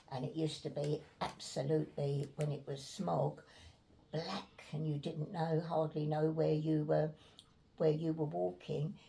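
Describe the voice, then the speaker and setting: A woman speaks at a fairly slow pace. Her very deep, low pitch shows ordinary variation. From Islington, North London. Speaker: war evacuee. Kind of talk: interview answer.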